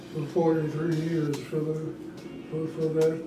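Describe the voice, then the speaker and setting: With an American accent, a man with a fairly high pitch speaks over background music in a room with audible echo. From Alabama, US South. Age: 90s. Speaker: retired chemist. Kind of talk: interview, life story. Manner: halting, many fillers.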